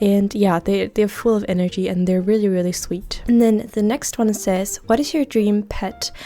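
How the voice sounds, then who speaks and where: A woman with a Danish accent speaks in a medium pitch with ordinary pitch variation. Her moderate pace has hardly any pauses, over noticeable background noise. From Denmark. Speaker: gaming YouTuber. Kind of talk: casual chat. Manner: casual, many fillers.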